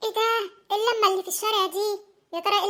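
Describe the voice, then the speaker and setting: In a cartoonish character voice, a woman speaks at an extremely high pitch with fairly even intonation. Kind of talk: comic cartoon acting.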